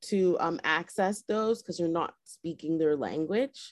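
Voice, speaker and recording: Against a quiet background, a woman is speaking. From Nova Scotia, Halifax (Spryfield). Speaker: DJ and magazine publisher. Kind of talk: casual interview. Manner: hesitant, many fillers.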